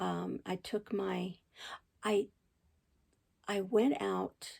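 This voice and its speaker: Very clean recording of a woman, silent background. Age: 60s. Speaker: crochet channel host. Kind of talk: personal testimony. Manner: halting, many fillers and restarts.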